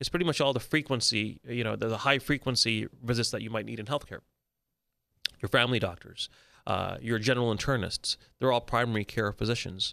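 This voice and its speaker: A man talks at a fairly quick pace with vocal fry. His tone is bright and sharp. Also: medium pitch for a man, ordinary pitch variation. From raised all around the world. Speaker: physician and entrepreneur. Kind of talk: interview. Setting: studio.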